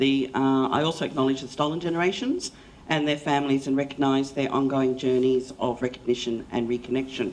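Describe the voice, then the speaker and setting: The pace is fairly quick. Light background noise is present. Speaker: panel moderator. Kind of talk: panel discussion moderation. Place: hall. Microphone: handheld.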